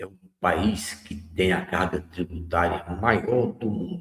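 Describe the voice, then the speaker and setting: A man is speaking. His pace is very slow. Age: 70s. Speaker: radio host. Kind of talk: radio commentary. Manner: conversational.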